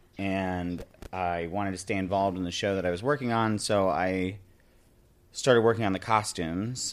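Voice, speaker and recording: Using a normal speaking voice, a man talks at a moderate pace with a fairly low pitch and fairly even intonation. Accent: American. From upstate New York (Binghamton). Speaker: Broadway wardrobe and hair crew, Etsy seller. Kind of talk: casual interview chat.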